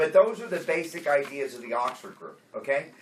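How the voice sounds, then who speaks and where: Noticeable background noise runs under a man's voice. His intonation is lively and his pace moderate. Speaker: AA workshop leader. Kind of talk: workshop teaching. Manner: casual, conversational.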